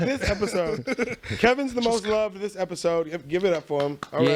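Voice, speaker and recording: Noticeable background noise sits behind a man speaking at a high pitch. He talks at a fairly quick pace with lively intonation. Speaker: podcast host.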